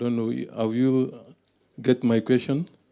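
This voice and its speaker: A man speaks at a fairly slow pace, his dark, mellow tone carried on fairly even intonation. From Burkina Faso. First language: French. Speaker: conference attendee asking a question. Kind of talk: audience question.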